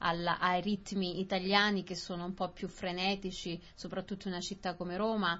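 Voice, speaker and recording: A woman speaks with a medium pitch. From southern Italy. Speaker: Italian newcomer in Australia. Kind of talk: casual conversation for language learners. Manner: halting, repetitive.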